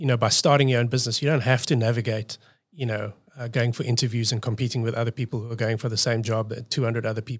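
A man's somewhat breathy, medium-pitched voice at a very fast pace, monotone and flat, in a very clean recording with a silent background. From South Africa. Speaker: design agency owner. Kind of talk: podcast interview.

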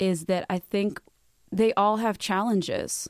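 A woman's normal speaking voice with an American accent, fairly slow and fairly even in intonation, in a dry, close sound with no echo. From Detroit, US. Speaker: influencer and model. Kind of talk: interview. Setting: studio.

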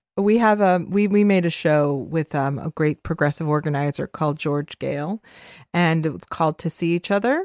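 With a plain, everyday voice, a woman talks at a moderate pace and ordinary pitch variation. Her sound is dry and close, with no echo. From Los Angeles, US. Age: 40s. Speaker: podcast host and media founder. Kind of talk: casual chat. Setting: remote call from home.

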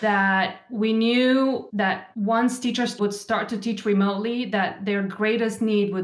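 This woman talks at a fairly slow pace and medium pitch, her intonation monotone and flat. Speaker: education nonprofit program manager. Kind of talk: podcast interview.

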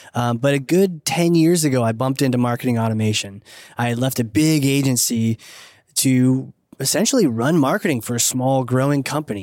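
A man's normal speaking voice at medium pitch, fairly quick in pace, with ordinary pitch variation, in a very clean recording with a silent background. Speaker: marketing consultant and author. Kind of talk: casual interview. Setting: recorded live at a conference.

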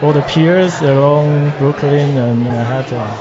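A man with a Taiwanese accent speaks in a fairly high pitch with fairly even intonation. His pace is fairly slow, over noticeable background noise. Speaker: artist. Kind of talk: interview answers.

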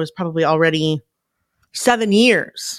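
The voice is a plain, everyday voice with ordinary pitch variation. The sound is dry and close with no echo, on a very clean recording with a silent background. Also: woman. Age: 40s. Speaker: podcast community founder. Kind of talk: casual interview.

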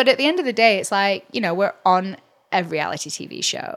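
Vocal fry marks this woman's voice as she talks at a fairly quick pace in an English accent. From England. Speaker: realtor and reality TV cast member. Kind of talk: casual interview chat.

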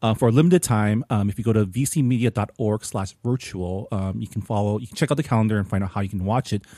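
A man with an American accent speaks very fast in a fairly low voice, barely pausing. His tone is dark and mellow, on a very clean recording with a silent background. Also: ordinary pitch variation, dry, close sound with no echo. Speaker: podcast host. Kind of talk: casual chat.

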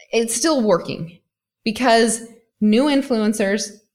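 A woman with a normal speaking voice talks at a fairly slow pace. Her pitch varies in an ordinary way on a very clean recording with a silent background. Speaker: e-commerce coach. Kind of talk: casual interview chat.

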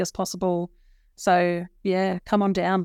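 Monotone, flat intonation comes with an Australian accent in a dry, close recording with no echo, very clean and with a silent background. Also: woman. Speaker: nursing regulator director. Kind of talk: interview. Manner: hesitant with many fillers.

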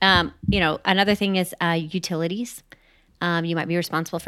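In a very clean recording with a silent background, the delivery runs at a fairly quick pace. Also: woman. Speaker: podcast co-host and real estate investor. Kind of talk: casual conversational podcast discussion. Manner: animated, talkative, storytelling.

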